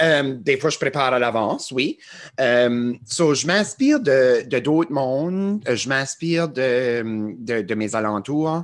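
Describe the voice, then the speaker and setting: Speaking in an Acadian accent, a man keeps a medium pitch. His delivery is very slow with lively intonation. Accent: Acadian French (chiac). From Acadia, New Brunswick. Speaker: TikToker and musician. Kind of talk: podcast interview. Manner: hesitant, many fillers.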